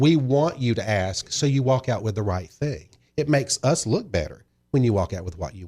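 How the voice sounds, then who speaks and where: A man speaks with a Southern US accent in a dark, mellow tone. His pitch swings very widely, and vocal fry comes through. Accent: Southern US drawl. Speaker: wine shop owner. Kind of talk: podcast interview answer. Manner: friendly.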